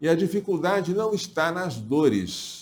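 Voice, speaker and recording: A man speaks at a very slow pace, his pitch fairly high. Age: 60s. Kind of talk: religious talk to viewers. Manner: halting.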